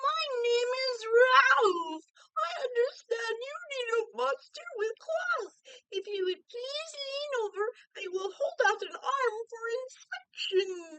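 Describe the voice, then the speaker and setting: Using a put-on character voice, a woman talks at an extremely high pitch and a fairly slow pace. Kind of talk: polite, formal.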